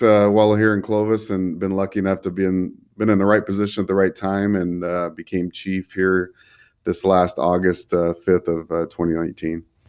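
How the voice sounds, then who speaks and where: Fairly low-pitched male voice with a Californian accent, moderate pace and fairly even intonation, on a very clean recording with a silent background. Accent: Californian American. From California, Central Valley (Fresno). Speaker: police chief. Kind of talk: interview.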